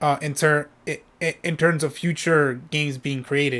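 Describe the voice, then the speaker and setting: A man speaks in a fairly high voice. His intonation is monotone and flat. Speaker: video game streamer. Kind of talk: casual live-stream chat. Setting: live stream. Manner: halting, many repetitions.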